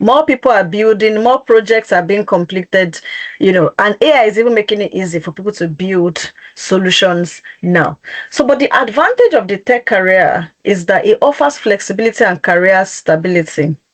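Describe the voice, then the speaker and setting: With an ordinary speaking voice, a woman at medium pitch talks at a moderate pace with lively intonation, the sound dry and close with no echo. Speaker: career coach presenting a webinar. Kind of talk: webinar presentation.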